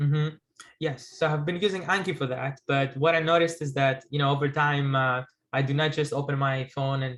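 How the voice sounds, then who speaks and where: Speaking fairly quickly with a Greek accent, a man keeps his fairly high voice at a fairly even intonation. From Greece. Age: 30s. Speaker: guest note-taking enthusiast. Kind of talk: casual video call conversation. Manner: halting, many hesitations.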